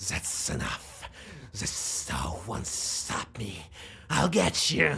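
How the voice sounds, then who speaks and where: A man's put-on character voice, growling, very deep and low in pitch, at a very slow pace. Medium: video game. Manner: menacing.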